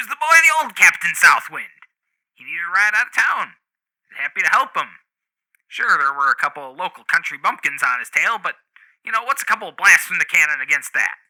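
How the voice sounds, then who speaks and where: In a put-on character voice at a high pitch, a man talks at a very fast pace, with big swings in loudness and long, frequent pauses. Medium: actual play. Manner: touchy, evasive, blustering.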